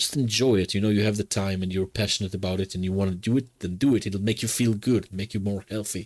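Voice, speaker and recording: A man speaks very fast in a fairly low voice with a strong non-native accent. The recording is very clean, with a silent background. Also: fairly even intonation, hardly any pauses. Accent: heavy foreign. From Israel. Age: 30s. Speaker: streamer. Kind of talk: casual chat. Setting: live stream. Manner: monotone.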